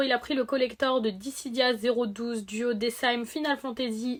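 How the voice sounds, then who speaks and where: In a very clean recording with a silent background, a woman with a high pitch speaks at a moderate pace with fairly even intonation. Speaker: video game collector youtuber. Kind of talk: casual haul video.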